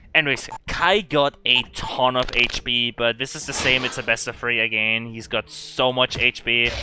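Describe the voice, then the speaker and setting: A man talks at a moderate pace with fairly even intonation and hardly any pauses. Music plays in the background. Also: medium pitch for a man. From Germany. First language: German. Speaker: speedrunner. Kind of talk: live speedrun commentary. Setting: online streaming marathon.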